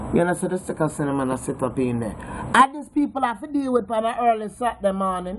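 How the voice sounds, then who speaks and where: A woman with a Jamaican accent and a medium pitch talks at a very fast pace with hardly any pauses and very wide pitch swings. Noticeable background noise runs underneath. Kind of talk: casual talk to camera. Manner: playful, teasing.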